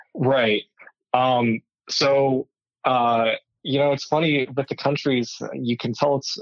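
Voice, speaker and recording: Speaking with a Southwestern US accent, a man talks at a medium pitch. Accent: American (Southwest). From Arizona, US. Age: 20s. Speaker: wheelchair tennis player. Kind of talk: interview. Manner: halting, many fillers.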